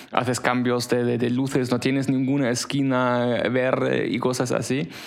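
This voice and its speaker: A man with a German accent at medium pitch, flat and monotone, fairly slow, with audible room echo and noticeable background noise. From Germany. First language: German (speaking Spanish). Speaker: podcast co-host. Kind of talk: casual chat.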